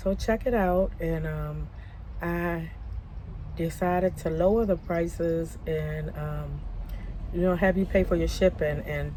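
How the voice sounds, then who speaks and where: A woman's voice comes with audible room echo. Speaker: vlogger and crafter. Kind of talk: casual vlog monologue. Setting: outdoors at a park. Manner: halting, many fillers.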